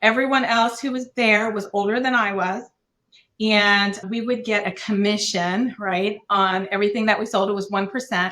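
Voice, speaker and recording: A woman's bright, sharp voice at a medium pitch, with fairly even intonation and a moderate pace. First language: Korean. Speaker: business owner. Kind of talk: podcast interview.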